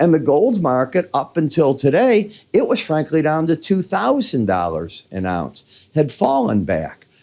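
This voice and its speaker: In a Midwestern accent, a man speaks with very wide pitch swings. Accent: Midwest. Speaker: market analyst. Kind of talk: market commentary. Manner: casual.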